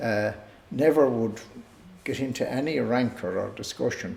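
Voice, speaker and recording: A man's medium-pitched voice with a Tipperary accent, ordinary pitch variation and a moderate pace, in audible room echo. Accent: Irish, Tipperary. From Ireland, Co. Tipperary. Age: 70s. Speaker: retired community figure recalling family history. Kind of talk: oral history interview. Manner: hesitant, with many fillers.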